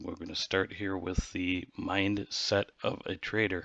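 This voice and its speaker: A man's fairly low-pitched voice. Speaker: trading youtuber. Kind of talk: tutorial. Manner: casual, halting with fillers.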